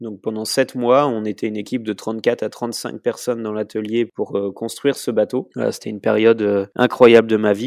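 A man with an unremarkable speaking voice talks at medium pitch and a moderate pace, with hardly any pauses and fairly even intonation. The sound is dry and close with no echo, on a very clean recording with a silent background. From France, Vendée. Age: 30s. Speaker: professional sailor. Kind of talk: interview.

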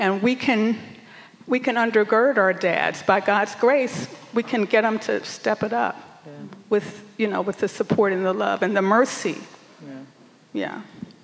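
Speaking at a fairly slow pace, a woman with an American accent leaves long, frequent pauses. Background noise is noticeable. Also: medium pitch for a woman, ordinary pitch variation. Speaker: veteran teacher. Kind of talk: panel discussion, testimony.

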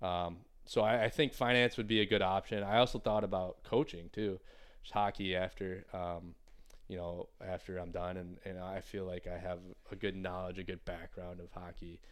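In an American accent, a man with a very deep, low voice talks at a moderate pace with fairly even intonation and big swings in loudness, recorded very cleanly against a silent background. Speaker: professional hockey player. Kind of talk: casual interview. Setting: studio. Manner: mumbling.

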